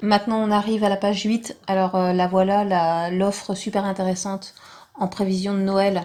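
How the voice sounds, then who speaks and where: A soft-spoken woman talks at medium pitch in a dark, mellow tone. Her intonation stays monotone and flat. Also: very clean recording, silent background. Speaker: vlogger. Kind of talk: tutorial.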